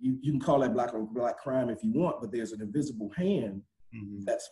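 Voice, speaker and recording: A man speaks with a dark, mellow tone that is somewhat breathy, and his intonation is lively. The background is quiet. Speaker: nonprofit community leader; panelist. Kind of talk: panel discussion. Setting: video call. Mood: earnest, reflective. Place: office. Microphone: video call.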